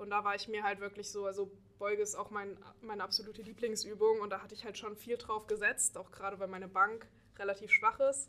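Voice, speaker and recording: At a very fast pace, the voice stays monotone and flat in intonation while its loudness swings widely. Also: woman, medium pitch for a woman. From Saxony, Dresden. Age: 20s. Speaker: powerlifter and student. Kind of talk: casual interview.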